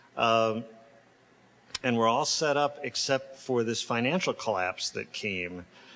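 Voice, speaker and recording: A man speaks at a fairly slow pace with a bright, sharp tone. His pitch is medium, with ordinary variation. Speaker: sculptor. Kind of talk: public lecture. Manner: halting, many fillers.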